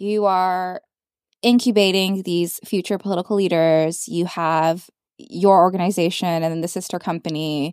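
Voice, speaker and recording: A woman with a normal speaking voice talks at a moderate pace in a medium pitch, her intonation fairly even. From Canada. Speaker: podcast host. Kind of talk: casual interview chat. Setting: studio.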